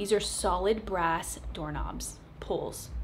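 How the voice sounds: A woman talks at a slow pace. Her pitch variation is ordinary.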